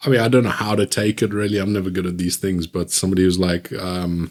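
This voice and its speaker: A very deep, low male voice with fairly even intonation and a South African accent. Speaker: podcast host. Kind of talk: casual chat.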